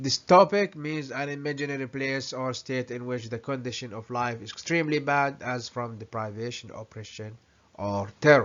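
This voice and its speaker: With an Arabic accent, a man speaks with ordinary pitch variation and big swings in loudness. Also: medium pitch for a man, moderate pace. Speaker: vlogger. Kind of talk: commentary with reading aloud. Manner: halting.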